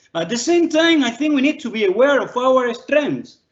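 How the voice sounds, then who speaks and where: The man talks at a moderate speed. He has a non-native accent. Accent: foreign accent, permanent. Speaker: law professor. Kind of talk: online lecture Q&A. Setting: live online video session.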